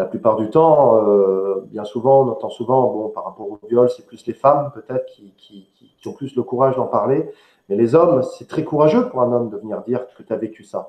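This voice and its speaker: There is audible room echo as a man speaks at medium pitch with big swings in loudness. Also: ordinary pitch variation, moderate pace. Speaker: online show host. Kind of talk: live interview. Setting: live online stream. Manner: hesitant, filler words. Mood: serious, empathetic. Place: home room.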